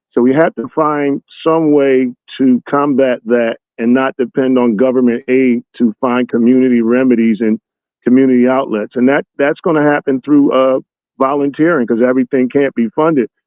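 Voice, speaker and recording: An ordinary speaking voice from a man with an American accent, medium in pitch, at a moderate pace, with very even loudness and fairly even intonation. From US Northeast (North Philadelphia). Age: 60s. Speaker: motivational speaker. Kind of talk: interview.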